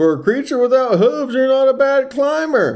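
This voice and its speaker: A high-pitched, put-on character voice at a moderate pace. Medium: read story.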